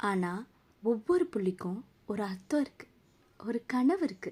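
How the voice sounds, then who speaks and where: Her pitch swinging very widely, a woman talks in a fairly high register. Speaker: dubbing artist. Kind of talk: film dub, motivational monologue.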